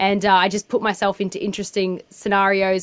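Talking at a fairly quick pace, a woman with an Australian accent uses a medium-pitched voice. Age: 30s. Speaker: activist. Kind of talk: interview.

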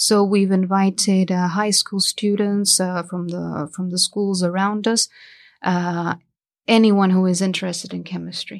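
Over a quiet background, a woman talks at a fairly slow pace. Her intonation is monotone and flat. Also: medium pitch for a woman. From Mexico. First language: Spanish. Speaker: chemistry researcher. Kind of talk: interview. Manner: hesitant, many fillers.

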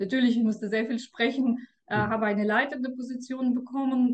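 Speaking at a fairly quick pace, a woman with a Russian accent uses a fairly high pitch and monotone, flat intonation. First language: Russian (speaking German). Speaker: tax advisor. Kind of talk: interview. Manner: hesitant, with fillers.

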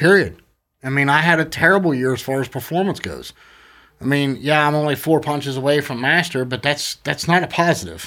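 A man talks at a fairly high pitch with a bright, sharp tone. The recording is very clean, with a silent background. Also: ordinary pitch variation, fairly quick pace. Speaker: podcast host. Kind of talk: casual chat. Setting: studio.

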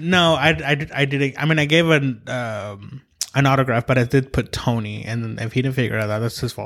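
Against noticeable background noise, a man speaks at a moderate pace and a medium pitch with ordinary pitch variation. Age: 30s. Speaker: podcast host. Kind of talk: casual chat. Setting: studio.

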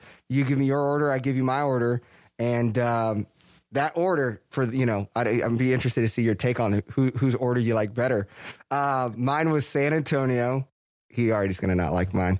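A man with an American accent speaks at a fairly quick pace, medium pitch and ordinary pitch variation. His loudness stays very even on a very clean recording with a silent background. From Texas. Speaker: podcast host. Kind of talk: casual chat. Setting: office, wearing masks. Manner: halting, many fillers.

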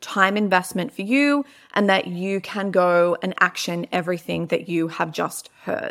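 A woman's medium-pitched voice with a bright, sharp tone and an Australian accent, at a moderate pace, on a very clean recording with a silent background. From Melbourne, Australia. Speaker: podcast host, business coach. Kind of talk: casual monologue. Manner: animated.

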